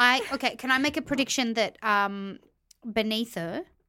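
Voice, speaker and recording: Heard on a very clean recording with a silent background, the speaker uses lively intonation and a bright, sharp tone with an Australian accent. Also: woman. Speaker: podcaster, reality TV reviewer. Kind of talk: casual chat.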